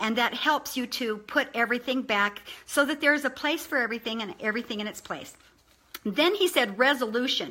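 A woman speaks with a high pitch and a bright, sharp, animated tone. Her pitch varies in an ordinary way. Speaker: online video presenter. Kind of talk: informal motivational talk. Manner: fast talker. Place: home room. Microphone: webcam.

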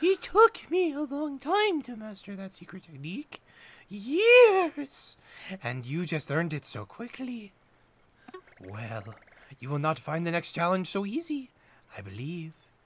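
Putting on a character voice, a man speaks high-pitched and fairly slowly, with big swings in loudness and long, frequent pauses. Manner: funny character voice.

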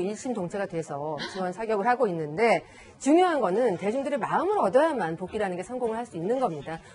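The woman talks very fast. Her pitch moves over a very wide range. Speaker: entertainment journalist and professor. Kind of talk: news panel discussion. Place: studio. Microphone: lapel.

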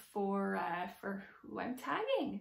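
A woman speaks with a somewhat breathy voice. Room echo is audible. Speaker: handbag vlogger. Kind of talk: casual vlog chat. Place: home room. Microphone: phone near.

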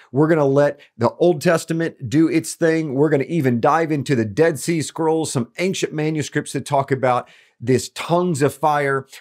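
Against a quiet background, a man talks at a moderate pace with hardly any pauses and fairly even intonation. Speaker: ministry teacher. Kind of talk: teaching intro to camera. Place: studio.

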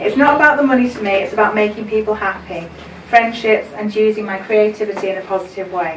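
Her pace is very fast, with ordinary pitch variation. The woman is heard with light background noise and audible room echo. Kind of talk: celebration speech. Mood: warm, emotional, smiling. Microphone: camera far.

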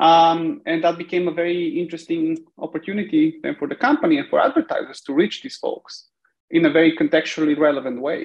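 Over a quiet background, the talking goes at a fairly quick pace. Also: man. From Bulgaria. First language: Bulgarian. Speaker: tech company CEO; guest. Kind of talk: interview. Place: home room. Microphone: video call.

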